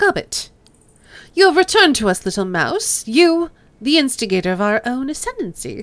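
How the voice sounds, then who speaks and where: Putting on a menacing character voice, a woman speaks high at a moderate pace with very wide pitch swings, on a very clean recording with a silent background. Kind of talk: crisp, cultured. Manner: menacing, regal.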